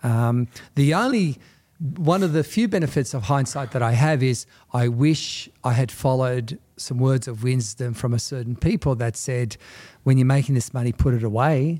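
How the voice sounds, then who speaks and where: A man with an Australian accent speaks in a dark, mellow tone at medium pitch. His pace is moderate and his pitch variation ordinary, on a very clean recording with a silent background. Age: 50s. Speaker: real estate salesperson. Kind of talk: talk in front of a live audience. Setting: real estate office with live audience.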